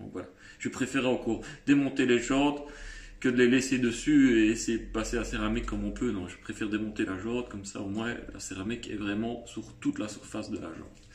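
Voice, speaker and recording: A man speaks in a strong Liège accent at a fairly quick pace. His loudness swings widely. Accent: fairly strong Liège (Belgian French). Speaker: car detailing youtuber. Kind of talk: product demo tutorial. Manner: hesitant, many fillers.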